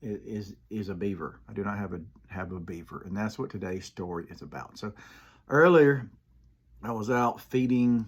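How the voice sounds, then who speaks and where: In a very clean recording with a silent background, a man with an Alabama accent speaks at a fairly low pitch and moderate pace, with ordinary pitch variation. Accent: US Southern (Alabama). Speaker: comedian and Army veteran. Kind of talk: casual monologue. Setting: home room, filmed in one take. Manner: halting, repeated words.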